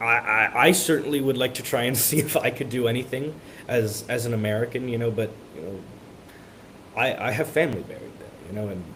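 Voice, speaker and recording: Amid noticeable background noise, a man speaks at a fairly quick pace with long, frequent pauses, using a medium pitch and ordinary pitch variation. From Miami, Florida. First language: Spanish. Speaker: college student. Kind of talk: interview. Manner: halting, many repeated words.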